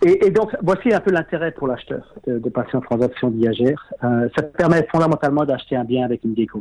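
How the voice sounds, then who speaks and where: A strong southern French accent and speech with hardly any pauses. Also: man, fairly high pitch for a man, lively intonation, fairly quick pace. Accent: strong sing-song southern French. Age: 50s. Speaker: property investor. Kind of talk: interview.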